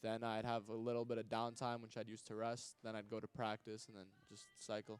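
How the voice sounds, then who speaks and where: In a slight New York accent, a man talks at a fairly quick pace with a medium pitch. His intonation is monotone and flat, while his loudness swings widely. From Long Island, New York (Hewlett). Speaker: hockey player. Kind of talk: interview. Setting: live show at a restaurant.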